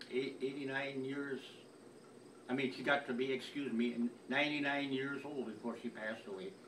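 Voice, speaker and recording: With noticeable background noise and audible room echo, a man of medium pitch speaks at a moderate pace with fairly even intonation and long, frequent pauses. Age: 80s+. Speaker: family elder sending a message. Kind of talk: recorded personal message. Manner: halting, many repetitions.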